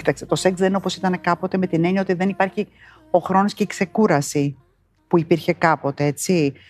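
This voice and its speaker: A woman talks at a fairly quick pace with fairly even intonation, in a plain, everyday voice pitched fairly low. The sound is dry and close, with no echo. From New Zealand, moved to Greece at 12. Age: 50s. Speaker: interviewee. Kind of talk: interview.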